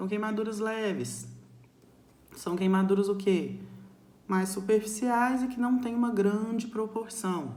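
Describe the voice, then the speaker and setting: Pausing long and often, a woman speaks fairly slowly at a fairly high pitch with fairly even intonation, with audible room echo. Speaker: nursing teacher. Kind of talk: recorded lecture. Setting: recorded alone to camera.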